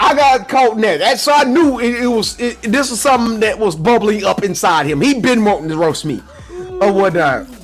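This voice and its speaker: A man with a high-pitched voice speaks fairly quickly with lively intonation while music plays in the background. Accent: American. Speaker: podcast co-host. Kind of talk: casual chat. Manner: casual, halting storytelling.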